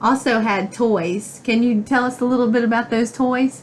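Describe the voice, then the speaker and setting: A woman speaks at a moderate pace in an ordinary speaking voice. Her pitch is fairly high, and her intonation stays fairly even. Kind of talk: interviewer questions.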